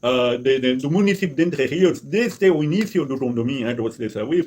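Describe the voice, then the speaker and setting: The intonation is lively and the pace moderate. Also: man. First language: not Portuguese (speaking Portuguese). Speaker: resident activist vlogger. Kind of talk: complaint monologue. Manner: halting, repeats words.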